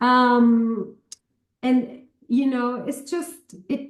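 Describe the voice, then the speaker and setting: A woman talks with a Spanish accent. Her voice is somewhat breathy. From Argentina, Chubut province (Patagonia). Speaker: academic, cultural studies scholar. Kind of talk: interview conversation.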